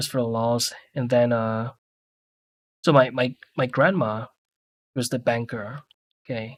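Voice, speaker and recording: With a Mandarin accent, a man speaks at a fairly slow pace with fairly even intonation and long, frequent pauses. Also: medium pitch for a man, dry, close sound with no echo. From Singapore. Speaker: 3D artist streamer. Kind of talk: casual chat. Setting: live stream.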